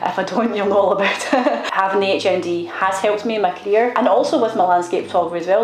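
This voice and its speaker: Over noticeable background noise and audible room echo, a woman with a Scottish accent talks at a very fast pace with ordinary pitch variation. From Scotland, Glasgow. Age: 30s. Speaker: photographer, vlogger. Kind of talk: casual vlog chat. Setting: studio.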